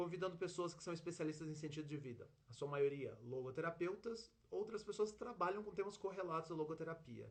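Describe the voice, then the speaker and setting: The speaker talks at a fairly quick pace. Pitch varies in an ordinary way. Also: man, high pitch for a man. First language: Portuguese (speaking Spanish). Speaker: live show host. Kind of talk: interview. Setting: online livestream.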